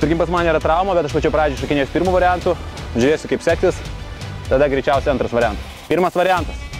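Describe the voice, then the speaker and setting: Clear music plays in the background as a man speaks with ordinary pitch variation in a dry sound with no echo. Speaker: fitness coach. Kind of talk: casual vlog chat and instruction.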